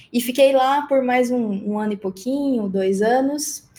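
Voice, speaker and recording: Lively intonation colors a woman's dark, mellow tone as she speaks at a fairly slow pace. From Mato Grosso do Sul, Brazil. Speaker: agile specialist, production engineer. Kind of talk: casual interview conversation.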